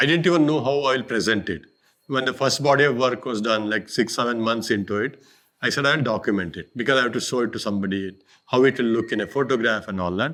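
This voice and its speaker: Speaking very fast with a Karnataka accent, a man keeps a medium pitch and ordinary pitch variation. The background stays quiet. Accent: Indian English, Kannada. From India, Karnataka. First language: Kannada. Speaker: artist. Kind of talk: interview about his art. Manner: halting.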